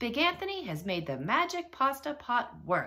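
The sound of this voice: A woman puts on a character voice, fairly high in pitch with big pitch swings and a bright, sharp tone. She keeps a moderate pace.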